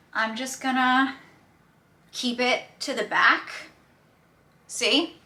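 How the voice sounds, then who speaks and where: Amid noticeable background noise, a woman with an American accent and high pitch talks at a very slow pace, with fairly even intonation and long, frequent pauses. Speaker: beauty YouTuber. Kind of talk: makeup tutorial chat. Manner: casual, chatty with many fillers.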